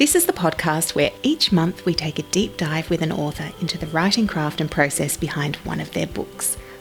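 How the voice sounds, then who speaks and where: Music plays in the background while a woman talks at a moderate speed. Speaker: podcast host. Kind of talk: podcast intro.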